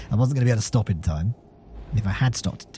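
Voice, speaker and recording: The man talking shows ordinary pitch variation. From southwest England. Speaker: gaming commentator. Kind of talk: gameplay commentary. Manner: fast; casual, with many fillers.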